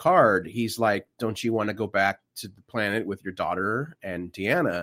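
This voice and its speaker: Here a man talks at a moderate pace in a plain, everyday voice. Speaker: podcast host. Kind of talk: casual chat.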